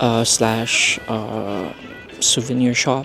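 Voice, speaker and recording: A man speaks in a relaxed tone with music in the background. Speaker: travel vlogger. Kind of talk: casual travel vlog. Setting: outdoors. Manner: relaxed, chill.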